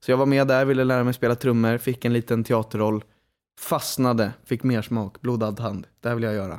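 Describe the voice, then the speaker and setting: The recording is very clean, with a silent background. A man talks at a fairly quick pace in a monotone, flat intonation. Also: medium pitch for a man. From Stockholm, Sweden (Lidingö). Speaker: podcast co-host, actor. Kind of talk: casual chat.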